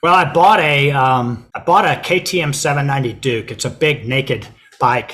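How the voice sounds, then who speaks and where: A man with an American accent and a plain, everyday voice, fairly high in pitch, with ordinary pitch variation at a moderate pace. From United States. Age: 60s. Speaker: expat retiree. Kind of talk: casual interview.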